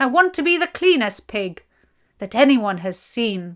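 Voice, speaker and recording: Putting on a character voice, a woman speaks at a moderate pace in a high pitch with very wide pitch swings, in a very clean recording with a silent background. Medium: read story. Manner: bright, innocent.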